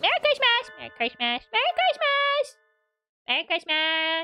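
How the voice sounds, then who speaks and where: In a put-on character voice pitched extremely high, the speaker moves at a moderate pace with very wide pitch swings. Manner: cute, annoying, cheerful.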